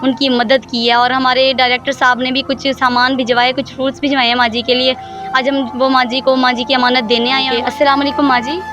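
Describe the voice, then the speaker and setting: With music in the background, a woman speaks at a high pitch in monotone, flat intonation and very even loudness. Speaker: TV anchor / field reporter. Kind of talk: TV field report to camera.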